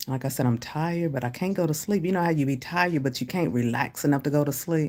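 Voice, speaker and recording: A woman with an American accent, on a very clean recording with a silent background. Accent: noticeable accent, commented on by viewers. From US Midwest. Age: 50s. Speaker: livestreamer, commentary YouTuber. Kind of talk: casual livestream chat reading comments. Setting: hotel room livestream. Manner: casual, chatty.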